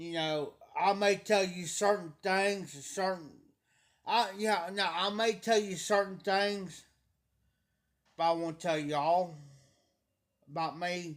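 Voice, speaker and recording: The speaker is loud, going at a very slow pace with long, frequent pauses and fairly even intonation. The recording is very clean, with a silent background. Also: man, high pitch for a man. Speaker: livestreamer. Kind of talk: casual chat. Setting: livestream.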